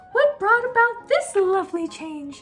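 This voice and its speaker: A woman puts on a squeaky character voice at extremely high pitch, with very wide pitch swings. She keeps a moderate pace while faint music plays in the background. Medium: read story. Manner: sweet, gentle.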